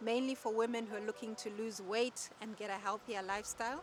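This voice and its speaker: A woman's fairly high-pitched voice, a plain, everyday voice, with ordinary pitch variation. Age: 40s. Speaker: personal trainer. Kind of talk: interview.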